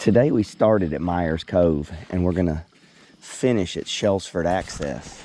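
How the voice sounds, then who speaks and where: A man with a very deep, low voice speaks at a fairly slow pace. His pitch varies in an ordinary way over noticeable background noise. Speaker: fishing guide. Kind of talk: outdoor vlog narration. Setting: outdoors on a river, kayak. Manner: casual, conversational.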